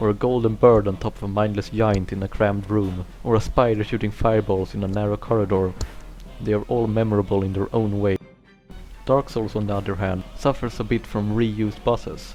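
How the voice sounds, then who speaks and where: A man's fairly quick, monotone, flat delivery, fairly low in pitch, with a non-native accent and music in the background. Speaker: video game analyst. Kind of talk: video essay narration. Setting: cheap home microphone.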